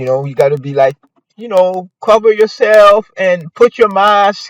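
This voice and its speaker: A man with a non-native accent speaks at a very slow pace in a dry, close sound with no echo. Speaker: podcast host, local news commentator. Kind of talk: casual news commentary podcast. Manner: hesitant, many fillers.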